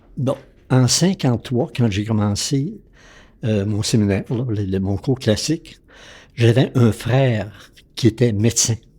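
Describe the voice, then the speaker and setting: A man speaks very slowly, with long, frequent pauses, at a medium pitch with ordinary pitch variation. His tone is dark, mellow and somewhat breathy, on a very clean recording with a silent background. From Quebec, Lac-Saint-Jean region. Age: 80s+. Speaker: retired physician. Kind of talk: interview storytelling. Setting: at his home.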